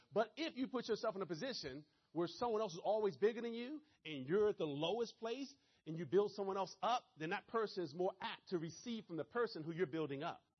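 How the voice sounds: With a Maryland accent, a man talks at a fairly quick pace with few pauses, a high pitch, a slightly husky edge, and lively intonation.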